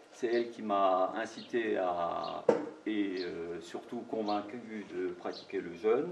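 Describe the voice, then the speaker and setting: A man with a fairly low pitch speaks at a very slow pace amid noticeable background noise and audible room echo. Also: ordinary pitch variation. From Alsace, France (Marmoutier, near Saverne). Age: 50s. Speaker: cancer patient. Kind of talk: testimony.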